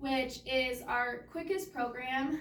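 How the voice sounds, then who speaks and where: Amid noticeable background noise and audible room echo, a woman talks at a high pitch with ordinary pitch variation. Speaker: case manager. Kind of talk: presentation.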